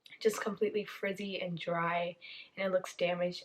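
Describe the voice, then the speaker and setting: A woman has an ordinary speaking voice at a medium pitch. Her intonation stays fairly even at a moderate pace. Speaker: beauty vlogger. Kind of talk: casual vlog tutorial.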